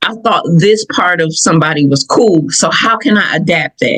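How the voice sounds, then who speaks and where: With a Southern US accent, a woman speaks at a fairly low pitch in an animated tone with lively intonation and a fairly slow pace. The sound is dry and close, with no echo. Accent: Southern, country. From Michigan, US (Southern family roots). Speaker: podcast host. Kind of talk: personal reflective podcast talk. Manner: animated storytelling; casual, conversational.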